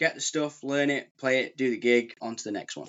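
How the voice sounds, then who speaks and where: With a Lancashire accent, a man speaks at a medium pitch with ordinary pitch variation. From Preston, Lancashire, northern England. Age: 30s. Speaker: session bass player and busker. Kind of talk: casual interview chat.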